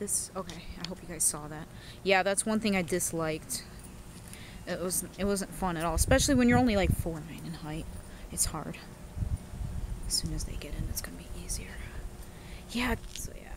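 Woman at a fairly quick pace, fairly low in pitch with ordinary pitch variation, dry sound with no echo, noticeable background noise. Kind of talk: casual vlog chat. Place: open country. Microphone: phone near.

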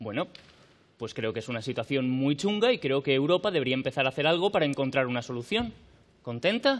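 A man races along very fast, his intonation lively. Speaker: actor in a scene. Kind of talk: theatrical dialogue. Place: stage. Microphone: headset.

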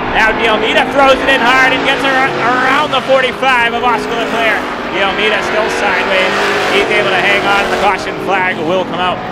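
The pace is moderate. Loud background noise runs underneath. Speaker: race announcer. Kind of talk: play-by-play commentary. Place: stadium.

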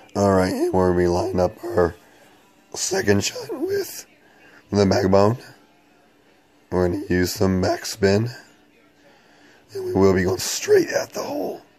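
With noticeable background noise behind him, a man talks at a fairly slow pace and leaves long, frequent pauses. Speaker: mobile game video creator. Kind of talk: gameplay commentary.

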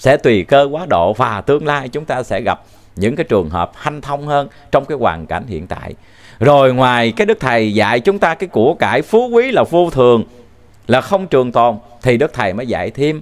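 At a moderate pace, a man speaks with very wide swings in pitch. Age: 40s. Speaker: religious teacher. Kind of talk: dharma talk. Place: studio. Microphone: handheld.

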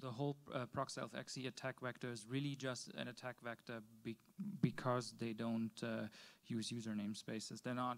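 A normal speaking voice from a man, medium in pitch, at a moderate pace with fairly even intonation. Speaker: audience member, container software developer. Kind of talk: technical discussion. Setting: conference room, microphone. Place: meeting room. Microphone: handheld.

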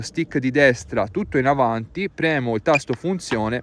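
A man's lively intonation, dry with no echo. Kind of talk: tutorial. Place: open country.

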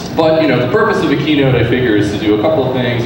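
A man's voice comes through strong room echo and noticeable background noise. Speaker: conference keynote speaker. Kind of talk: keynote talk. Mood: relaxed, joking. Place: hall.

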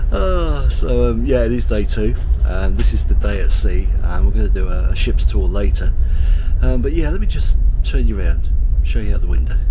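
Over noticeable background noise, a man with a very deep, low pitch talks at a fairly quick pace in a monotone, flat intonation. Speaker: travel vlogger. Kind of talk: casual vlog chat. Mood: cheerful, joking, hungover. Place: boat. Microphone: phone near.

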